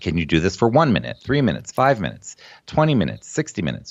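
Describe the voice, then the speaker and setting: A man speaks with vocal fry. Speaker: executive function coach for students. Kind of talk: podcast interview. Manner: animated.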